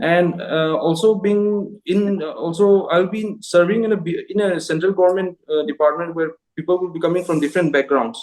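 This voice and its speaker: With a Manipur accent, a man talks at a moderate pace in a high pitch, using ordinary pitch variation and hardly any pauses. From Manipur, northeast India. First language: Manipuri. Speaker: job interview candidate, engineer. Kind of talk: mock job interview. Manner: halting, many fillers.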